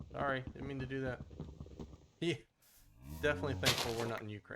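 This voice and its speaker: With an American accent, a man talks at a very fast pace in a bright, sharp tone at medium pitch, with ordinary pitch variation and big swings in loudness. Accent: slight Southern US, comes out on some words. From Texas. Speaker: gaming streamer. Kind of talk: live gameplay stream commentary. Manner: casual, thinking aloud.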